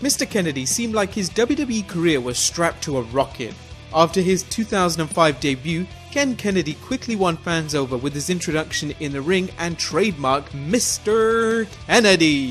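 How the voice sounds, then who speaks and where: Over music in the background, a man speaks at a moderate pace in a high pitch with very wide pitch swings. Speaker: wrestling history narrator. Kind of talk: list video narration.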